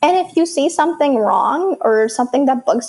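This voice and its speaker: A woman talks with an American accent and lively intonation. Her pace is moderate. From moved to the US at age seven from an Arabic-speaking country. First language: Arabic. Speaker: startup founder and software developer. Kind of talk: podcast interview.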